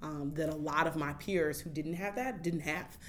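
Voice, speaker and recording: In an American accent, a woman speaks with a very deep, low pitch and fairly even intonation at a moderate pace, with audible room echo. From Oakland, California. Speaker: community organizer. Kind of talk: casual interview.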